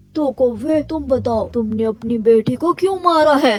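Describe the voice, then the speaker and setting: At a moderate pace, a cartoonish character voice, female-sounding and fairly high in pitch, carries the clip. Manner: authoritative.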